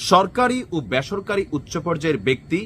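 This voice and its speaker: This man has a plain, everyday voice with lively intonation. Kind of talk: news commentary monologue.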